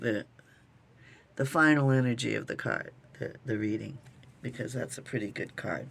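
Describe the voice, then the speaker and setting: At a fairly slow pace, a woman talks in a very deep, low pitch. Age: 60s. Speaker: tarot reader. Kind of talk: tarot reading. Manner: halting.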